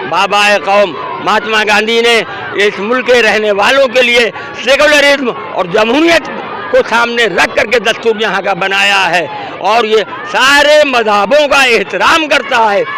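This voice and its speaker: A man speaks in a raised, projected voice, high in pitch, with ordinary pitch variation. Crowd noise carries in the background. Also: very even loudness. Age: 80s+. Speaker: protest speaker. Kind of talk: interview at a protest. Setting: outdoors at a protest.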